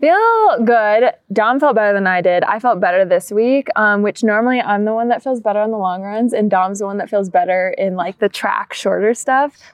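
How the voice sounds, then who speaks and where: A fairly high-pitched woman's voice with ordinary pitch variation over noticeable background noise. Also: moderate pace, hardly any pauses. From US Midwest, Minnesota. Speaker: professional marathon runner. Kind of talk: casual interview. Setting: outdoors in a park.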